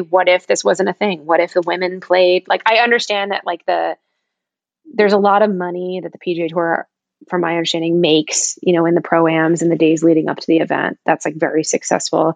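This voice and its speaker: With a plain, everyday voice, a woman talks at a fairly quick pace and medium pitch. The sound is dry and close with no echo. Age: 30s. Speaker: golf apparel founder and CEO. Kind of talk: casual chat.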